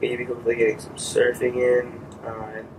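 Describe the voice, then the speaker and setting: Soft-spoken and with an American accent, the speaker keeps a monotone, flat intonation at a moderate pace while background noise is noticeable. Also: man. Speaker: vlogger testing podcast gear. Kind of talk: casual vlog monologue. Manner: hesitant, many fillers.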